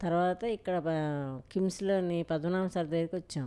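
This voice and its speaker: A woman speaks with fairly even intonation. Her voice sits fairly low in pitch. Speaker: patient's daughter-in-law. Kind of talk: patient testimonial. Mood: calm, grateful.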